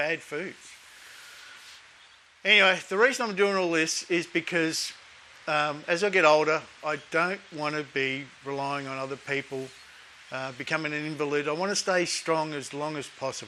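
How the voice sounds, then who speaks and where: This man talks at a moderate pace with a relaxed tone. His pitch is fairly high, with ordinary variation and long, frequent pauses. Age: 50s. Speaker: fitness vlogger. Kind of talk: casual talk to camera. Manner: relaxed, conversational.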